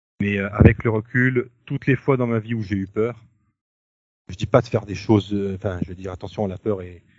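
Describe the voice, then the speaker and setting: A man's fairly low voice with fairly even intonation, big swings in loudness and long, frequent pauses. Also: moderate pace. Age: 40s. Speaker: new father. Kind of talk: interview. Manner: halting. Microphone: poor sound quality.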